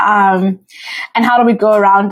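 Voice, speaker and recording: This woman has a fairly high pitch and speaks with a South African accent. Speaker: podcast host. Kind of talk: solo podcast monologue. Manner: casual, with frequent fillers.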